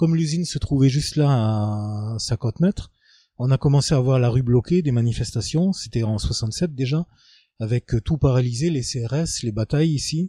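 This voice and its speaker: At a moderate pace, a man of medium pitch speaks with a dark, mellow tone that is somewhat breathy. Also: dry, close sound with no echo. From Lorraine, France (Moselle, Fensch valley). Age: 50s. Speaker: local resident interviewee. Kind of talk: testimony interview. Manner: hesitant, many fillers.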